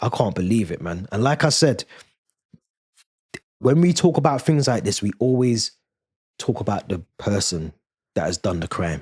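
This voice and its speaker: Animated and somewhat breathy, a man with a London accent swings very widely in pitch and leaves long, frequent pauses, in a dry, close recording with no echo. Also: medium pitch for a man, moderate pace. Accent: London multicultural English. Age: 30s. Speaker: YouTube commentator. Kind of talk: casual commentary monologue.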